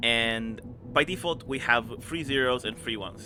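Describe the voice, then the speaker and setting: This speaker has a non-native accent and ordinary pitch variation. The pace is moderate. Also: man. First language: not English. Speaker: game streamer. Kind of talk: gameplay commentary with reading game text aloud. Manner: casual, hesitant with fillers.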